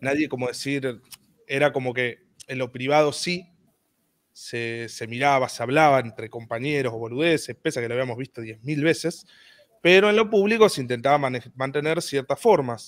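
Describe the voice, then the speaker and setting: A man talks in a Rioplatense accent. His pace is moderate and his pitch variation ordinary. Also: medium pitch for a man. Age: 20s. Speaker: content creator. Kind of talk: casual interview. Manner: halting.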